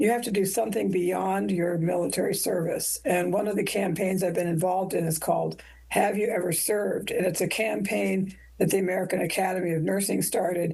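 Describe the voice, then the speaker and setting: A woman with a dark, mellow tone and vocal fry speaks fairly quickly at a medium pitch, her intonation fairly even and room echo audible around her. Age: 70s. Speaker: nurse educator and army veteran. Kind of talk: interview.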